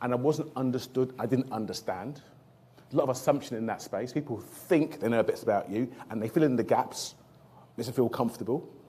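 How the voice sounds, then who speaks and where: In a South London accent, a man talks at a fairly quick pace. His voice is medium in pitch and dark, mellow in tone. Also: ordinary pitch variation. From South London (Lewisham). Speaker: trauma surgeon. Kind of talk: career talk to audience. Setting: stage with audience.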